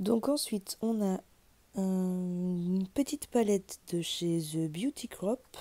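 A dark, mellow tone at a very slow pace, with ordinary pitch variation. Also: woman. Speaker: beauty youtuber. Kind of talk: unboxing video. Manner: casual, conversational. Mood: cheerful, pleased. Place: home room. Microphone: phone near.

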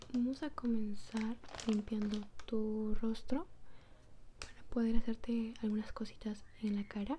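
Soft-spoken delivery with a gentle tone, fairly even intonation and a fairly slow pace over light background noise. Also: woman. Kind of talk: soft personal-attention role-play talk. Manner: soft-spoken, gentle ASMR murmur. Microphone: phone near.

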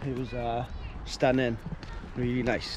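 Over noticeable background noise, a man talks at a moderate pace in a dry sound with no echo. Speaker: vlogger. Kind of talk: casual vlog chat. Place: beach. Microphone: phone near.

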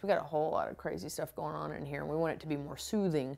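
The delivery is very fast, with ordinary pitch variation. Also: woman. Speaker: home makeover show host. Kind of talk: TV host commentary. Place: home room.

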